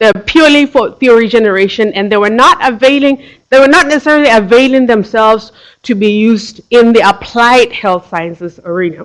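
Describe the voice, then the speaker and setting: Here a woman speaks with a Tswana accent at a fairly high pitch. Her intonation is lively. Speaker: PhD researcher. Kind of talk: lecture. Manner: halting, with frequent repetitions and fillers.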